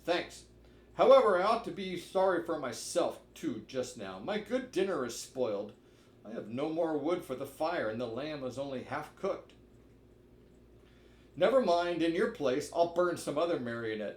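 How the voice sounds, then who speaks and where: A man uses a put-on character voice with a high pitch. He speaks at a moderate pace, and there is a slight echo. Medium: read story. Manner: gruff, blustering.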